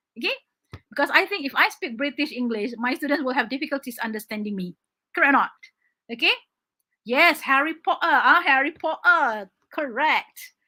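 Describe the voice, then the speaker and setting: A woman with a Malaysian accent speaks in a raised, projected, high-pitched voice with a bright, sharp tone and lively intonation, keeping a moderate pace broken by long, frequent pauses. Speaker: English teacher. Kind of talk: online exam-prep lesson. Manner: animated.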